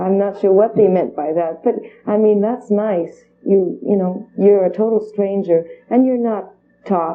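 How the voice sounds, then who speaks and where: At a fairly slow pace, a woman speaks with fairly even intonation at medium pitch. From Canada, Alberta (French-speaking). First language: French. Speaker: singer. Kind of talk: TV interview.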